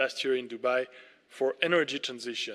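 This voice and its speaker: A man with a French accent and a bright, sharp tone. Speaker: ambassador. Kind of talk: formal speech. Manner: formal.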